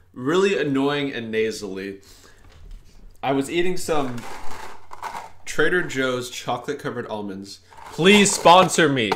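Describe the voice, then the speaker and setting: This man talks at a moderate pace in a medium pitch with lively intonation, and the room echo is audible. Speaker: gaming youtuber. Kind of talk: gameplay commentary. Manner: casual, joking.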